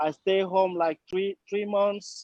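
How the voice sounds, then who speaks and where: A man with a non-native accent. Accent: foreign, non-native English. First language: not English. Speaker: client of the law firm. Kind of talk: testimony. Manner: halting.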